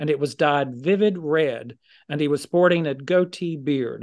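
An unremarkable speaking voice from a man, fairly high in pitch, at a fairly slow pace against a quiet background. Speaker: podcast co-host. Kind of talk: casual interview conversation.

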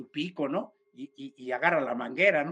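A man speaks with a bright, sharp tone. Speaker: esoteric speaker. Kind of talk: casual chat.

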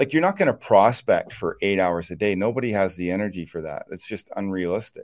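A fairly low-pitched man with ordinary pitch variation on a very clean recording with a silent background. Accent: Maritime Canadian. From Eastern Canada, New Brunswick. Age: 40s. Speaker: real estate agent and team leader. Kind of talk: interview.

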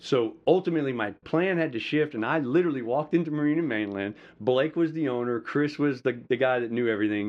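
Very fast speech from a man with an American accent, a medium pitch, and ordinary pitch variation. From US South, rural Georgia (Madison County). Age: 40s. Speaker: pastor and military veteran. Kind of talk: personal testimony and preaching-style talk.

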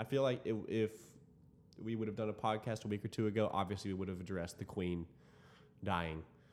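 A man with an American accent, ordinary pitch variation and a very fast pace. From Dallas-Fort Worth, Texas. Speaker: student podcast host. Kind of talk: casual chat.

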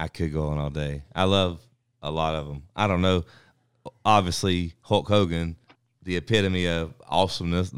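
A man's very deep, low voice with a North Carolina accent, fairly even intonation and a moderate pace. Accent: Southern US, North Carolina. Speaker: dog trainer.

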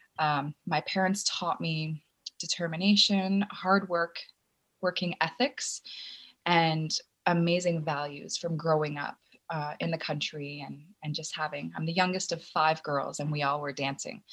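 In a plain, everyday voice, a woman with a Canadian accent speaks fairly slowly at a fairly low pitch with fairly even intonation. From rural Ontario, Canada. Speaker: acrobatics teacher and division manager. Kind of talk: interview. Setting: video call.

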